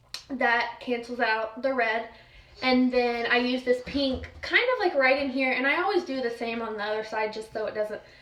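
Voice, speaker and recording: With noticeable background noise and audible room echo, a woman with a high pitch speaks in fairly even intonation. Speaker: makeup vlogger. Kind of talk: tutorial. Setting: at home. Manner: fast.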